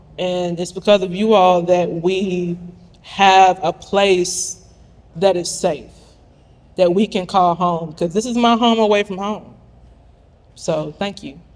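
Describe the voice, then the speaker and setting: A high-pitched man at a very slow pace, with fairly even intonation and long, frequent pauses. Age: 30s. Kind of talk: event speech.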